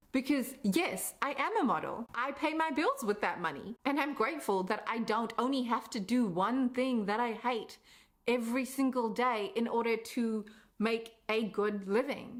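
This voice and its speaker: With an enthusiastic tone, a woman speaks at a moderate pace and fairly high pitch, with ordinary pitch variation, very even loudness, and noticeable background noise. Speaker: content creator and coach. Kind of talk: personal vlog monologue. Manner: enthusiastic, expressive.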